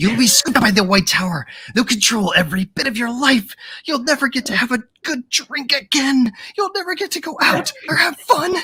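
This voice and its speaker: A put-on character voice, fairly high in pitch and at a fairly quick pace. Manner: ominous.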